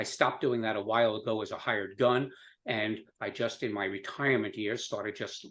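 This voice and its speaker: A man speaks at a medium pitch, with flat, monotone intonation. The background is quiet. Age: 70s. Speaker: business owner. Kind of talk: podcast interview. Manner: halting, many fillers.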